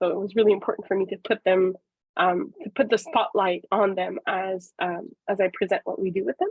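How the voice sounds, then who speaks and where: A woman with a Quebec accent speaks at a fairly quick pace. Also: medium pitch for a woman, ordinary pitch variation. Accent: Québécois French accent in English. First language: French. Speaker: professor and psychologist. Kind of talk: webinar presentation. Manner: hesitant, many fillers.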